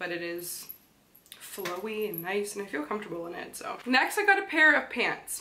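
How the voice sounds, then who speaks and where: Over light background noise, a woman speaks at a moderate pace with lively intonation and big swings in loudness. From Canada. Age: 20s. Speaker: fashion vlogger. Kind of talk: casual talk to camera. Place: home room.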